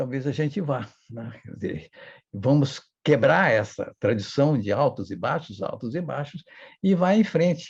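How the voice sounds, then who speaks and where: A man talks at a fairly slow pace in a fairly high, somewhat breathy voice. His pitch swings very widely and his loudness rises and falls sharply. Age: 80s+. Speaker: historian and professor. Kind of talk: interview.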